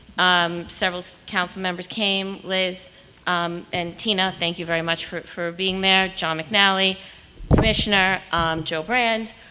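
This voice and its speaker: A woman speaks loudly at a fairly slow pace, her medium-pitched voice bright and sharp in tone with a flat, monotone delivery. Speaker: public commenter, charity volunteer. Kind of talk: public comment.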